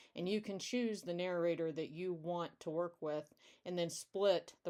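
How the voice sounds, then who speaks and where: A woman speaks at a moderate pace in a dark, mellow tone, her fairly low pitch held in fairly even intonation. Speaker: indie true crime author. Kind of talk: presentation of slides.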